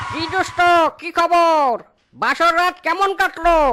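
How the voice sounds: An extremely high-pitched, cartoonish character voice talks at a fairly slow pace.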